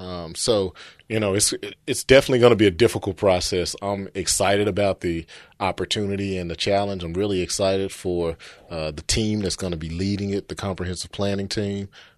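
With a Memphis accent, a man talks at a fairly quick pace in a very deep, low pitch and fairly even intonation, the sound dry and close with no echo over a quiet background. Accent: Southern US (Memphis). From Memphis, Tennessee. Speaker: city housing official. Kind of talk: interview.

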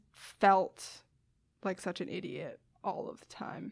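A woman with an American accent speaks very slowly on a very clean recording with a silent background. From US Northeast, Westchester, New York. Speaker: biology graduate student. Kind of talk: casual interview.

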